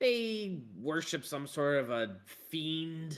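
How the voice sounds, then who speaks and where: Putting on a character voice, a man talks in a raspy way. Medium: actual play. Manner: chatty, rambling.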